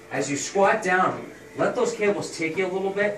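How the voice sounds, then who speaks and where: Audible room echo and light background noise surround a man talking at a very fast pace. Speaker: personal trainer. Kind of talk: tutorial. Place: gym. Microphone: camera far.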